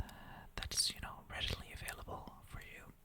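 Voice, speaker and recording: Whispered speech from a woman at a moderate pace, noticeable background noise underneath. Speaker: ASMR creator. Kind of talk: casual talk to camera, ASMR intro. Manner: whispered, soft.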